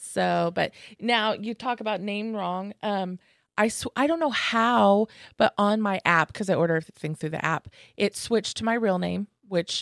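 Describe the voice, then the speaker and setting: Heard in a very clean recording with a silent background and a dry, close sound with no echo, a woman with an American accent speaks at a moderate pace in an unremarkable speaking voice, medium in pitch, with ordinary pitch variation. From Kansas. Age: 40s. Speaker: comedian and show booker. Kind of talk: casual chat.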